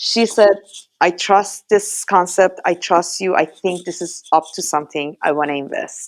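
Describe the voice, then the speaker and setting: A woman with a strong Iranian accent speaks at a fairly low pitch, her intonation fairly even. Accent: heavy Iranian. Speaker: startup founder, former academic. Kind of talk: podcast interview.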